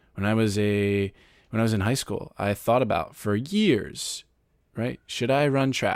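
With a normal speaking voice, a man at medium pitch speaks at a fairly slow pace with ordinary pitch variation in a very clean recording with a silent background. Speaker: podcast host and author. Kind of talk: interview conversation.

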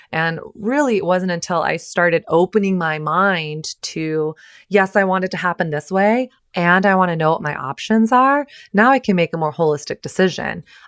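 A woman with a normal speaking voice and medium pitch talks at a moderate pace with lively intonation, recorded very cleanly with a silent background and a dry, close sound with no echo. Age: 30s. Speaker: relationship coach and author. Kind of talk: casual chat.

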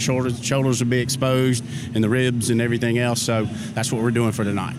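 With an American accent, a man talks in a monotone, flat intonation at medium pitch while noticeable background noise runs underneath. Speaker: barbecue cook. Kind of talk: casual interview. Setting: outdoors at barbecue festival. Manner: halting, repeats words.

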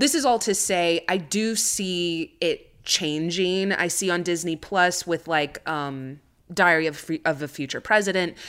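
With an American accent, a woman talks at a fairly slow pace in a fairly low pitch with ordinary pitch variation and hardly any pauses, in an unremarkable speaking voice on a very clean recording with a silent background. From United States (Chicana, Mexican-American). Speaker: writer and actress. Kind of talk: casual chat.

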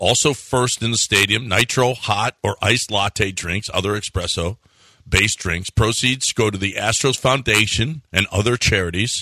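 Recorded with a dry, close sound, no echo and a quiet background, a man speaks at a moderate pace in a fairly low pitch, his bright, sharp tone carrying ordinary pitch variation. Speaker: radio host. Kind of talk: sports talk radio banter. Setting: studio. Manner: chatty, teasing.

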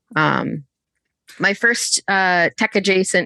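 A woman with an American accent speaks in a bright, sharp tone with ordinary pitch variation. The sound is dry and close with no echo, over a quiet background. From US Northeast, Connecticut. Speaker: engineering executive. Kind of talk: interview.

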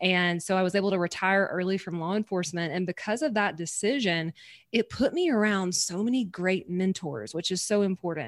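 A woman with a Southern US accent at medium pitch, fairly quick in pace, with ordinary pitch variation and a very clean recording over a silent background. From Louisiana, US South. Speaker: podcast host and business coach. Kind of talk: casual interview chat. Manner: animated, excitable.

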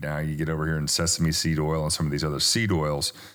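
This is a man speaking with a Southern US accent. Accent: American Southern-sounding. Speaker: skincare company founder. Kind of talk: interview.

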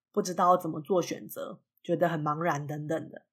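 A woman speaks at a moderate pace with fairly low pitch. The recording is very clean, with a silent background. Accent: Taiwanese. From Taiwan. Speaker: podcast host teaching English. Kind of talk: podcast monologue with English lesson.

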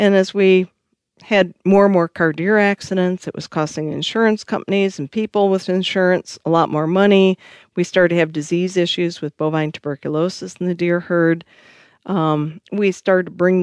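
Someone with a Michigan accent talks at a moderate pace with fairly even intonation, in a dry, close sound with no echo against a quiet background. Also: woman. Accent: Upper Midwest (Michigan) American. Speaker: conservation nonprofit CEO. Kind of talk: interview.

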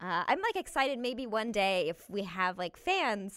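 A woman speaks in an animated tone. The recording is very clean, the background silent. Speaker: actress and comedian. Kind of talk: casual interview. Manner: animated, laughs often.

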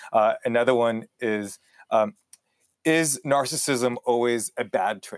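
Recorded with a dry, close sound and no echo, a man speaks at a very slow pace, medium in pitch with ordinary pitch variation. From El Paso, Texas (born in Israel). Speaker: author and business school lecturer. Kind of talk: interview.

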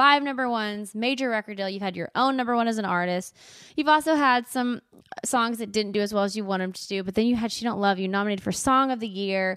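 A woman with an American accent, very fast and animated, her pitch fairly high. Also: ordinary pitch variation. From Texas. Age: 30s. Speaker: podcast host. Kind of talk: casual interview.

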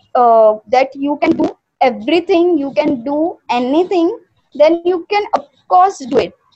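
Over music in the background, a woman speaks very slowly in an extremely high voice with lively intonation. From India, Maharashtra. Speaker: German language tutor. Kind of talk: interview testimony.

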